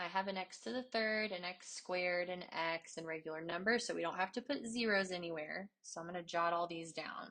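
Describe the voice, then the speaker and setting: A woman with an ordinary speaking voice talks at a moderate pace, her medium pitch varying in an ordinary way. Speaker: math teacher. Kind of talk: tutorial.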